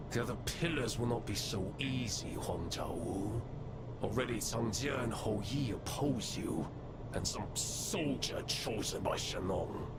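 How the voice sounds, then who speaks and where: Over loud background noise, someone delivers a put-on character voice at a fairly slow pace. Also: man. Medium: machinima. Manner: calm, scheming.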